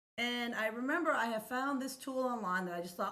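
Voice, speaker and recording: Amid audible room echo, a woman talks at a very fast pace. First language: Spanish. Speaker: accessibility expert and educator. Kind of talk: podcast interview.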